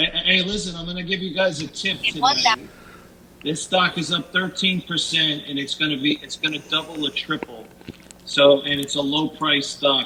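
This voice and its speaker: Noticeable background noise beneath a man speaking with ordinary pitch variation. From US Northeast. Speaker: caller, sports fan. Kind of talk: casual chat. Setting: online audio chat room.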